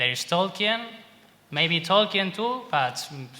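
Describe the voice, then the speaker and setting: A man with a Spanish accent talks at a moderate pace in a bright, sharp tone with ordinary pitch variation. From Spain. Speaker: fan website administrator and panel moderator. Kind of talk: panel discussion moderation. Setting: convention panel with audience. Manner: halting.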